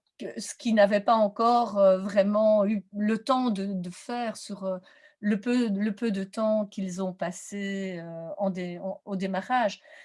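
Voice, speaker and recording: Somewhat breathy and at a medium pitch, a woman speaks very slowly with fairly even intonation. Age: 60s. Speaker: teacher-training lecturer in visual arts. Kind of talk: webinar presentation Q&A. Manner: hesitant, many fillers.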